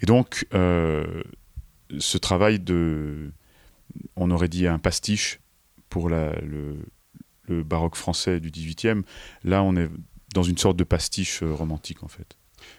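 Over a very clean recording with a silent background and a dry, close sound free of echo, a man with a very deep, low voice talks at a very slow pace with fairly even intonation and long, frequent pauses. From France. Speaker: opera singer. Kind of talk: interview. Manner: halting.

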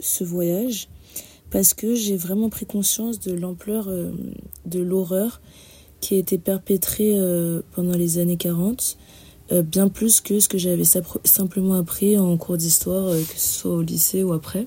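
Her tone dark and mellow and somewhat breathy, a woman speaks at a medium pitch in a flat monotone, very slowly and with long, frequent pauses. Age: 20s. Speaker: student. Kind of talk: testimony.

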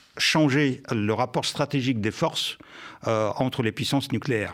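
A man with a Russian accent and ordinary pitch variation on a very clean recording with a silent background. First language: Russian (speaking French). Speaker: journalist and former intelligence officer. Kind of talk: live radio debate.

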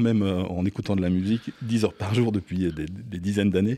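Speaking at a fairly quick pace, a man with a fairly low pitch and a dark, mellow tone is captured in a dry, close sound with no echo, on a very clean recording with a silent background. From Belgium, Liège region. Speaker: DJ. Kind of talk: interview. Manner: hesitant, many repetitions.

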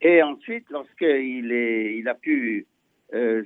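His pitch falls in the medium range. The voice belongs to a man. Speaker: chief rabbi. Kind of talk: radio interview. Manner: halting.

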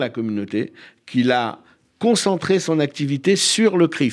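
Speaking at a fairly slow pace, a man uses a plain, everyday voice. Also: very clean recording, silent background. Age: 50s. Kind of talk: radio interview.

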